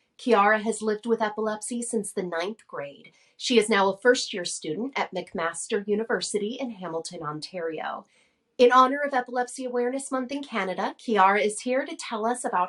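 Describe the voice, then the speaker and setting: A normal speaking voice from a woman, fairly high in pitch, with lively intonation and a fairly quick pace. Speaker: podcast host. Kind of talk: podcast intro read.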